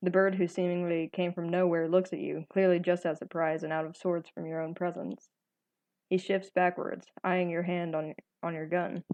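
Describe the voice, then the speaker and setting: The speaker is a woman with monotone, flat intonation. She keeps a moderate pace. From Texas. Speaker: gaming YouTuber. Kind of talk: reading aloud. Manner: halting, stumbles over words.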